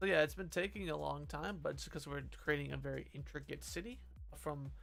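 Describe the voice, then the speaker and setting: A man mumbles at a fairly quick pace, with audible room echo around his voice. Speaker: game developer streamer. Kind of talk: live stream chat while working. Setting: live stream. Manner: mumbling; halting.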